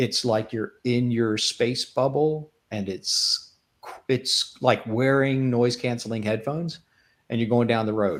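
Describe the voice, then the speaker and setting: Recorded very cleanly against a silent background, a man of medium pitch speaks at a fairly slow pace with ordinary pitch variation. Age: 60s. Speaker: tech executive and BIM consultant. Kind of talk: casual chat. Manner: animated.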